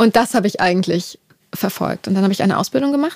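A woman at a medium pitch sounds somewhat breathy in a dry, close recording with no echo. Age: 30s. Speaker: music producer manager. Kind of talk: interview. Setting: office. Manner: hesitant fillers.

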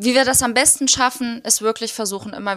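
Recorded with a dry, close sound with no echo, a woman speaks. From Germany. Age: 30s. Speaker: political educator. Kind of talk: casual interview.

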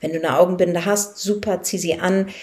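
Fairly slow and fairly even in intonation, this woman speaks at medium pitch. Her tone is dark and mellow. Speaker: life coach and podcast host. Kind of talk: guided meditation. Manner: reassuring and encouraging, light-hearted.

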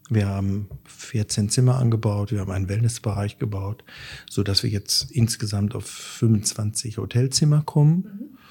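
A man's dark, mellow, somewhat breathy voice, fairly low in pitch, at a fairly slow pace. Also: ordinary pitch variation. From Sauerland, Germany. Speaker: chef and restaurant owner. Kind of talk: casual interview. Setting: at home. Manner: hesitant with fillers.

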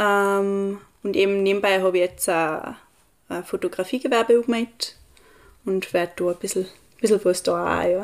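A woman's medium-pitched voice at a moderate pace, with fairly even intonation and long, frequent pauses. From Austria, Tyrol (Pillersee valley). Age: young. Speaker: recent school graduate. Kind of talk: casual interview chat. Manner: halting, many fillers.

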